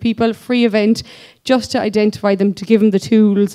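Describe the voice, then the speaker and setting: Dark, mellow tone from a woman at medium pitch, with monotone, flat intonation and a quiet background. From Ireland, County Kerry; Ireland. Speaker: physiotherapist. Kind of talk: conference presentation. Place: hall. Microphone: podium.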